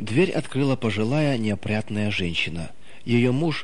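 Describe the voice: Plain reading aloud, the pitch rising and falling in an ordinary way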